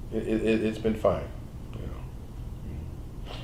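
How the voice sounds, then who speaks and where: A man talks at a fairly low pitch in a dark, mellow tone that is somewhat breathy. Room echo is audible. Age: 70s. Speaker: medical doctor. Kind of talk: interview. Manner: halting.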